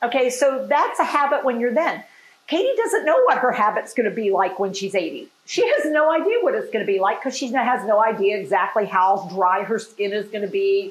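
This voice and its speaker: At a moderate pace, a woman speaks at a high pitch with very wide pitch swings, and audible room echo surrounds her voice. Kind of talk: demonstration lecture. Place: bathroom. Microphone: phone near.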